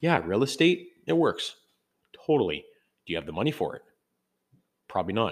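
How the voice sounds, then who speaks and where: A man with a Canadian accent on a very clean recording with a silent background. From Canada. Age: 30s. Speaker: podcast host. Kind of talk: casual monologue. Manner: halting, many fillers.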